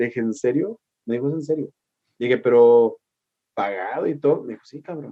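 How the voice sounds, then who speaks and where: A man with a Mexico City accent at a medium pitch and fairly quick pace, with ordinary pitch variation, big swings in loudness, and long, frequent pauses. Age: 40s. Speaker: historian and radio host. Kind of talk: casual interview chat. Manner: animated.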